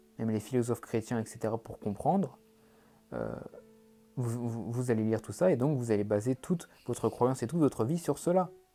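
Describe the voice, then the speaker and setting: A man at a medium pitch with ordinary pitch variation and long, frequent pauses, music in the background. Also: fairly quick pace. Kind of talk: monologue to camera. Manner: fast; animated.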